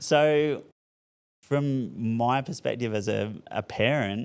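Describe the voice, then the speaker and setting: The voice belongs to a man. He talks with an Australian accent. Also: very clean recording, silent background. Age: 40s. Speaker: school principal. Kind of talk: casual chat. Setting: classroom.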